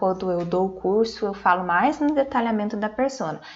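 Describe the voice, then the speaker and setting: A woman's fairly high voice at a moderate pace, a plain, everyday voice against a quiet background. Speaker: marketing speaker. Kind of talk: online conference talk.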